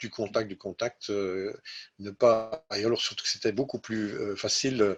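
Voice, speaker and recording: Sounding dry and close with no echo, a man talks at a fairly slow pace with medium pitch and fairly even intonation. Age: 60s. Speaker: IT executive. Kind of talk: interview. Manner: halting, many hesitations.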